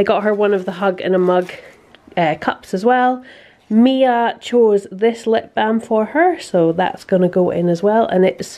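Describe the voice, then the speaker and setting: At a moderate pace, a woman with a Scottish accent talks with lively intonation. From Scotland. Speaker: vlogger, mother and architect. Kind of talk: casual vlog narration. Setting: at home. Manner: animated. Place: home room. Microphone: phone near.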